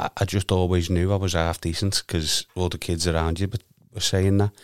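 A man with a Liverpool accent speaks in a very deep, low pitch at a moderate pace, his intonation monotone and flat. The recording is very clean with a silent background and a dry, close sound with no echo. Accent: Liverpool (Scouse). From Liverpool, Garston. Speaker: amateur footballer. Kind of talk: casual chat.

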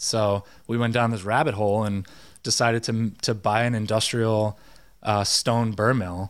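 Speaking in a flat monotone with very even loudness, a man with a fairly low pitch is heard on a very clean recording with a silent background. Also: moderate pace. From Rhode Island, North Kingstown. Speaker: chef. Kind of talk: casual chat.

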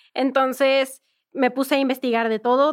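A woman speaks in a flat monotone. The recording is very clean, with a silent background. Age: 20s. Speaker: gamer and content creator. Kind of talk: interview.

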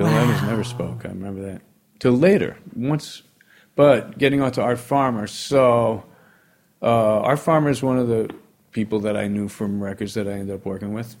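In a very clean recording with a silent background, a man with a New York accent talks at a moderate pace and medium pitch with ordinary pitch variation. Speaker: jazz pianist. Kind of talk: casual interview chat.

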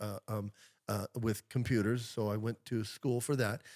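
A man speaks at a fairly quick pace in an ordinary speaking voice, medium in pitch with fairly even intonation, the sound dry and close with no echo on a very clean recording over a silent background. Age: 60s. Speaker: pastor. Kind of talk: casual chat.

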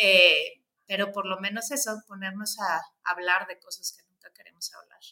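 In a northern Mexican accent, a medium-pitched woman speaks at a moderate pace. Her intonation stays fairly even while her loudness swings widely. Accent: northern Mexican (provincial). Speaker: human rights consultant. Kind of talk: interview conversation. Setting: video call from office. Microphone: slight echo.

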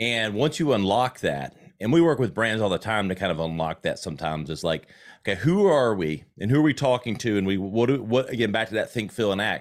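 With a Southern US accent, a man talks at a fairly quick pace in a fairly low pitch and lively intonation, on a very clean recording with a silent background. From South Carolina. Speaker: marketing expert and agency owner. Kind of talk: casual interview.

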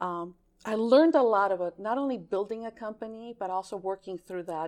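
A woman talks at a fairly quick pace in a normal speaking voice. Her pitch is medium and varies in an ordinary way. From Greece (raised there ages 3 to 14, born in California). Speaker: former games company sales employee. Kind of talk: casual interview chat.

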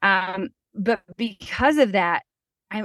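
A woman talks at a medium pitch with ordinary pitch variation. Hers is an unremarkable speaking voice. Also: dry, close sound with no echo. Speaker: podcast host. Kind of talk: casual interview chat.

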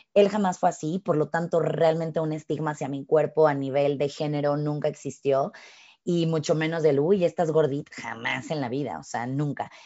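A woman speaks at a moderate pace with a very deep, low pitch. Her intonation is fairly even. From Mexico. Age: 30s. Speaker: fitness instructor. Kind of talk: casual chat.

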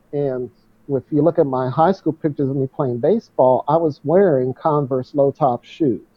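This man has a plain, everyday voice pitched fairly high. His pitch varies in an ordinary way. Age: 60s. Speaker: runner and author. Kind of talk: interview conversation.

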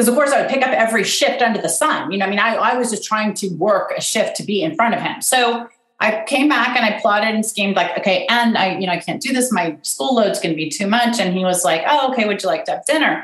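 With an American accent, a woman talks at a very fast pace. Her intonation is lively. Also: fairly high pitch for a woman. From US West Coast, Pasadena, California. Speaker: event planner and author. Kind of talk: interview.

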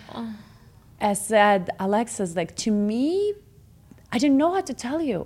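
On a very clean recording with a silent background, a woman with a Russian accent speaks at a fairly slow pace and a fairly high pitch, using very wide pitch swings and long, frequent pauses. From Russia, Moscow. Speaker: former model, real estate agent. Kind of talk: casual interview.

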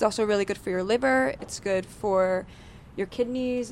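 A woman has a normal speaking voice at a medium pitch, with ordinary pitch variation. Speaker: coffee company co-founder. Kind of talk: live panel interview. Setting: stage with live audience.

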